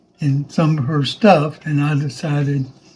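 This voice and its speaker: This man's voice is somewhat breathy and fairly high in pitch, with fairly even intonation. He talks at a very slow pace. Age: 80s+. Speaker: war veteran. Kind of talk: interview answer.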